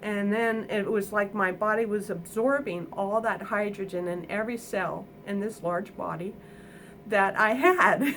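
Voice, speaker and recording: Over noticeable background noise, a woman speaks at a medium pitch and a fairly slow pace with fairly even intonation. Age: 60s. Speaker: construction worker. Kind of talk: testimonial interview answer.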